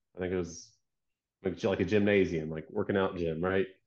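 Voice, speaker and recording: Very deep, low male voice in an American accent, fairly quick and fairly even in intonation, against a quiet background. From US South, Georgia. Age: 30s. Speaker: product designer and business owner. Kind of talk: casual chat.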